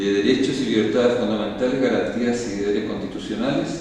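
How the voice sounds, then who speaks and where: A man with a medium pitch speaks amid audible room echo and noticeable background noise. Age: 60s. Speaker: school director and education advocate. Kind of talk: formal public hearing presentation. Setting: public hearing. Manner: formal, with some hesitations and repetitions.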